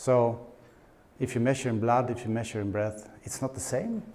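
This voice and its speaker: A man in a Swedish accent with ordinary pitch variation and audible room echo. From Sweden. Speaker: conference speaker, paleo nutritionist. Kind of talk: conference presentation. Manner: halting with repetitions.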